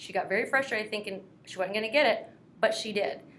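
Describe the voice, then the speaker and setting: In a room with audible echo, a woman with an American accent talks at a medium pitch with ordinary pitch variation. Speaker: career coach for military veterans. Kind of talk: casual advice talk. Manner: fast.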